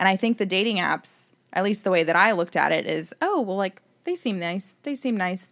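Speaking at a fairly quick pace, a woman has a medium pitch and ordinary pitch variation. Hers is an ordinary speaking voice. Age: 30s. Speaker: dating app user. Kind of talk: casual chat.

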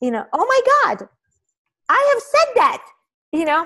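A woman with an Israeli accent speaks at a fairly slow pace, her pitch swinging very widely. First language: Hebrew. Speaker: podcast host and author. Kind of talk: interview conversation.

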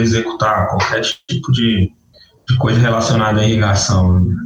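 A man with a normal speaking voice, medium-pitched, fairly even in intonation, at a moderate pace. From northern Minas Gerais, Brazil. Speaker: agronomist in irrigation. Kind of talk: interview.

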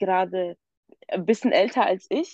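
A woman's dark, mellow tone. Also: dry, close sound with no echo. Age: 20s. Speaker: youth council member. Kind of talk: casual chat.

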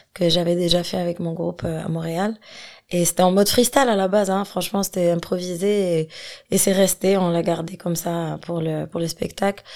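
On a very clean recording with a silent background, a woman speaks at a moderate pace in a fairly low voice with fairly even intonation. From Algeria, Algiers. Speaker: singer and rapper. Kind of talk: casual interview chat. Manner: hesitant, many fillers.

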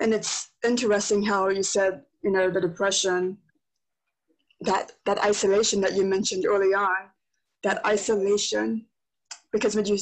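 A woman talks at an average speed, her pitch sitting mid-range and her intonation staying fairly level. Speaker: podcast host. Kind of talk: casual interview chat.

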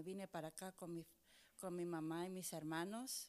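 At a moderate pace, this is an ordinary speaking voice. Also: woman. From Chile, then New York from age 12. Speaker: pastor. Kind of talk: casual chat.

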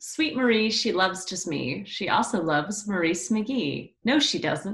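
A woman speaks at medium pitch with vocal fry. Her intonation is lively and her pace fairly slow. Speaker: podcast guest, friend. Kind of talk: casual chat.

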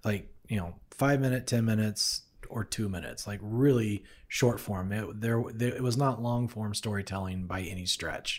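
A man's normal speaking voice, fairly low in pitch, with fairly even intonation, a moderate pace and a very clean recording over a silent background. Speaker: podcast host and co-producer. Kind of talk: casual interview conversation. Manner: friendly, conversational.

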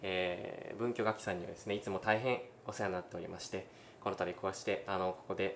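A man at a fairly low pitch, very fast and monotone in a flat intonation, over noticeable background noise. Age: 20s. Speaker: violinist. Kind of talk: interview; speech to online concert audience.

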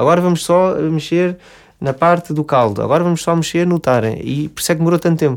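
A man talks at a very fast pace with a fairly high voice. The recording is very clean, the background silent. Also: ordinary pitch variation. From Portugal, Lisbon. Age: 30s. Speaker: restaurant owner. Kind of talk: interview. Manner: halting, many fillers.

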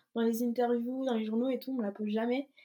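A woman's high voice in a dark, mellow tone, fairly quick and monotone, with flat intonation. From Brittany, France. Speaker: athlete. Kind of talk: interview.

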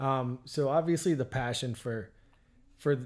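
The speaker has an unremarkable speaking voice with an American accent. The pace is fairly slow. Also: man. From Pennsylvania, Oil City area. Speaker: podcast host. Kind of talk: casual interview chat.

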